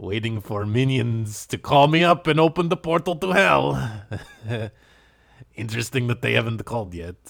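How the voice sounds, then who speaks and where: In a put-on character voice, a man speaks at a medium pitch and a fairly slow pace on a very clean recording with a silent background. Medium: audio drama.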